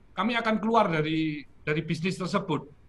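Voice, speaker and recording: A man speaks at a fairly quick pace in a high-pitched voice with a bright, sharp tone. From Malang, East Java, Indonesia. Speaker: paint company founder. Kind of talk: interview.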